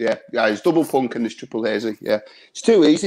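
Against a quiet background, a man with a northern English accent speaks very fast in a fairly high pitch with a dark, mellow tone. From northern England. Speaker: beer reviewer. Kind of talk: casual chat. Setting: video call. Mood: relaxed, chatty. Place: home room. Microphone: video call.

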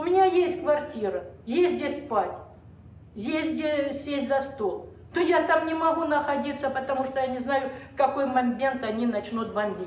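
Audible room echo carries a woman's high-pitched voice as she speaks at a fairly slow pace with lively intonation. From Ukraine. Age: 60s. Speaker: war-zone resident. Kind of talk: testimony. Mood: anxious, weary. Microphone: camera far.

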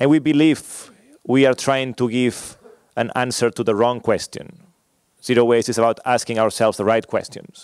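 In a quiet, dry setting with no echo, a man speaks at a moderate pace with fairly even intonation and long, frequent pauses. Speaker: conference presenter. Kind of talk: lecture. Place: hall. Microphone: podium.

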